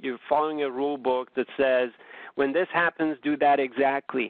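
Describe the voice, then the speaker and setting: A man's unremarkable speaking voice, fairly high-pitched, delivered at a moderate pace. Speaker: options trading presenter. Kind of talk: webinar presentation.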